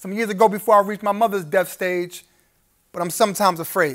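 This man speaks with an American accent. The background is quiet. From Brooklyn, New York. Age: 30s. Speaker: spoken word poet. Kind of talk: live spoken word poetry performance. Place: hall.

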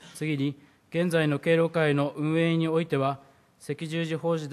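A man's fairly high, flat, monotone voice at a moderate pace. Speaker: city council member. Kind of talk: formal council question. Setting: council chamber podium. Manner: formal. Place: hall. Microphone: podium.

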